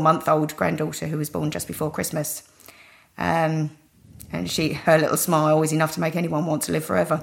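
A woman's very deep, low voice with vocal fry, in a British accent, monotone and flat, at a fairly quick pace. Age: 40s. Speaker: cardiac arrest survivor. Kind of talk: interview testimony.

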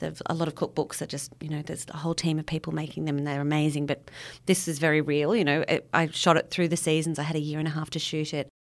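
Someone with an Australian accent speaks at a very fast pace in a monotone, flat intonation. The recording is very clean with a silent background. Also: woman, very deep, low pitch for a woman. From Sydney. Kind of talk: casual interview chat.

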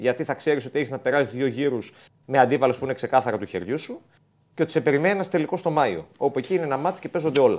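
This man talks at a very fast pace in a fairly high pitch. His intonation is lively. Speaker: football reporter. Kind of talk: sports report by phone.

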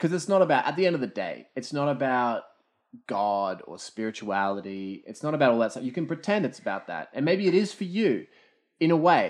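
Against a quiet background, a man with an Australian accent talks at a fairly quick pace, his fairly high pitch making very wide swings. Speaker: podcast co-host. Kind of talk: casual chat. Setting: at a table, recording with drinks.

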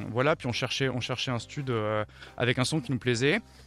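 Here a man talks in a medium-pitched voice. Pitch variation is ordinary. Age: 30s. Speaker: rock band member. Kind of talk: interview. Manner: halting.

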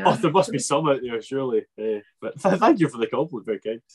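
In a Scottish accent, this voice races along at a very fast pace with very wide pitch swings and a somewhat breathy quality. The sound is dry and close, with no echo. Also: man, fairly high pitch for a man. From Scotland. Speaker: podcast host.

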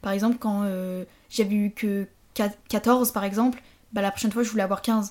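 A woman's fairly high, somewhat breathy voice with a dark, mellow tone and monotone, flat intonation on a very clean recording with a silent background. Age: 20s. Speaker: former business-school prep student. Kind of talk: casual chat.

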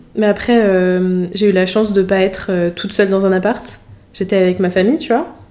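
A woman talks at a fairly quick pace and medium pitch, with fairly even intonation. Noticeable background noise runs behind her. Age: 20s. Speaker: podcast host, engineering student. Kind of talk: casual interview. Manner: hesitant, many fillers.

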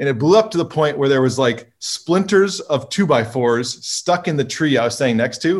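Speaking with an American accent, a man has an unremarkable speaking voice, a fairly high pitch, a moderate pace and lively intonation. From California. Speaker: drone company co-founder and engineer. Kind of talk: casual interview.

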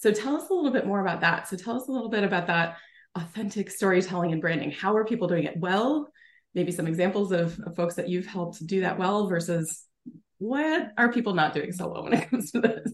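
Lively in intonation and very fast, a woman with an American accent speaks at a medium pitch in a somewhat breathy voice. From New Jersey. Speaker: podcast host. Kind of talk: interview.

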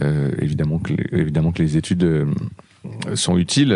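A man talks at a moderate pace with a very deep, low pitch. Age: 40s. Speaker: record label founder. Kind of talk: interview. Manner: halting.

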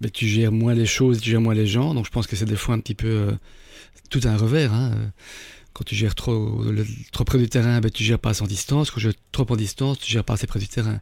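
Fairly quick and even in intonation, a man speaks on a very clean recording with a silent background. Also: medium pitch for a man. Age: 50s. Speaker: entrepreneur turned candle maker. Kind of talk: interview. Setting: studio. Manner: hesitant, frequent repetitions.

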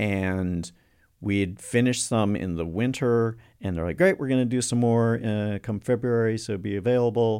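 A normal speaking voice with an American accent moves at a moderate pace. Its pitch varies in an ordinary way, and the recording is very clean with a silent background. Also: man. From US South, North Carolina. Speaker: actor. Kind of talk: casual chat.

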